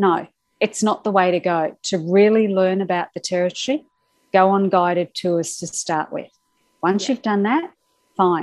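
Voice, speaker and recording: A woman with an Australian accent, medium in pitch, against a quiet background. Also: ordinary pitch variation, moderate pace. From Australia (Brisbane). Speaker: travel writer. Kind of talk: interview. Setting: remote call.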